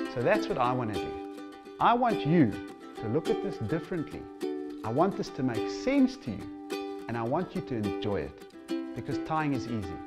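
A man speaks with very wide pitch swings. Clear music plays in the background. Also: moderate pace. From South Africa. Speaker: fly tying instructor. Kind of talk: promotional trailer presentation; promotional presentation to camera. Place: home room.

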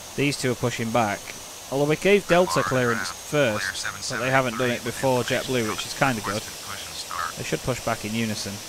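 A man speaks in a relaxed tone with ordinary pitch variation. The sound is dry with no echo, though background noise is noticeable. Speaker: gaming YouTuber. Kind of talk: gameplay commentary with simulated air traffic control radio calls. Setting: home recording with game on computer. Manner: rapid, clipped, businesslike radio phraseology, switching to relaxed chatty asides; multitasking, hurried and slightly flustered under pressure. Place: home room. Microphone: headset.

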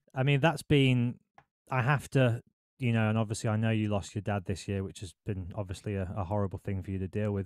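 Over a quiet background, a man with a fairly low pitch speaks fairly quickly in an unremarkable speaking voice, the sound dry with no echo. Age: 30s. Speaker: podcast host and radio presenter; podcast host, radio presenter. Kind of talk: interview. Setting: video call. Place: home room. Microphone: studio mic.

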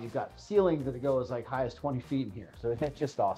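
Faint music plays in the background as a man speaks at a fairly quick pace. His pitch variation is ordinary. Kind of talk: property tour presentation. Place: home room.

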